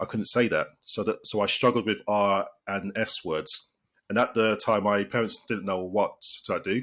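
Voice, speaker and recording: Speaking at a moderate pace, a man talks with a British accent. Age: 30s. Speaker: sports therapist. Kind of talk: podcast interview. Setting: podcast. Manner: halting, with repeated words.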